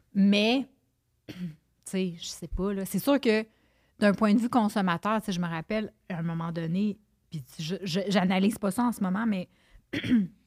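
A woman speaks in a Quebec accent at a moderate pace. Her medium pitch shows ordinary variation. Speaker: nutritionist and podcaster. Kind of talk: casual chat.

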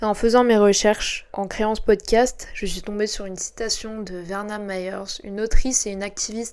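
A woman talks in a plain, everyday voice, fairly high in pitch with fairly even intonation. The recording is very clean, the background silent. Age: 20s. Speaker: podcast host. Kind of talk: scripted narration. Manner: formal.

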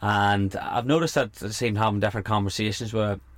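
A man with an Irish accent, a fairly low pitch, ordinary pitch variation and a fairly quick pace. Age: 30s. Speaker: podcast host and coach. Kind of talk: casual interview chat. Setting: camper van.

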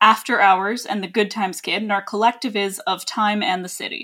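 The speaker has a Canadian accent and a normal speaking voice. The pace is fairly quick. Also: woman. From Canada, British Columbia. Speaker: podcast host, film writer. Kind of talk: casual chat.

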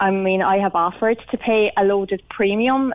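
The speaker is a woman. She talks with an Irish accent. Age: 30s. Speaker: cancer survivor caller. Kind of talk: radio phone-in. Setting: phone call.

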